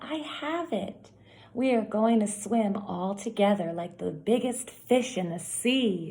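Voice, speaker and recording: Here a woman uses a put-on character voice. She speaks at a fairly slow pace. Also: medium pitch for a woman. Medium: read story.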